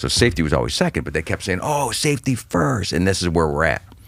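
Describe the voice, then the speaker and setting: His pitch is very deep and low, and it swings very widely. The man sounds animated and has vocal fry. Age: 40s. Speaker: stand-up comedian. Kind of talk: casual chat.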